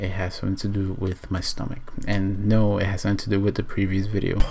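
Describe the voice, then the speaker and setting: There is noticeable noise in the background. Over it, a man whispers. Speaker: vlogger. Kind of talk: casual vlog. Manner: whispering.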